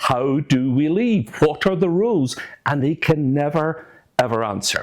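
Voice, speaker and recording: A man with a fairly high pitch talks at a fairly slow pace with lively intonation. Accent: Scottish. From Scotland. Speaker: former politician, political commentator. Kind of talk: political commentary monologue.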